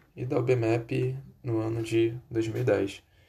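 Here a man speaks at medium pitch with a dark, mellow tone. His voice is somewhat breathy. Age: 20s. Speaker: job applicant. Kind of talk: job application self-presentation. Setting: recording at home computer. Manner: formal.

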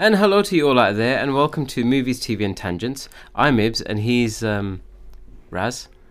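A man with an unremarkable speaking voice, medium pitch, a moderate pace and lively intonation. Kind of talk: casual chat.

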